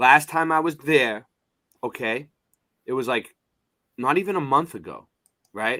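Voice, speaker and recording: A man with a strong Boston accent talks at a moderate pace with ordinary pitch variation. His tone is bright and sharp, in a very clean recording with a silent background. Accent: heavy Boston. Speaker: live streamer. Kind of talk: casual chat. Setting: live stream. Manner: rambling, halting.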